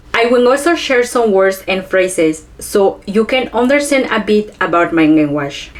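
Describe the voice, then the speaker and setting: Over noticeable background noise, this voice moves at a moderate pace with very wide pitch swings, very even loudness and hardly any pauses. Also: woman, fairly high pitch for a woman. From Chiapas, Mexico (Ch'ol community). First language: Ch'ol. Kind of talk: educational presentation.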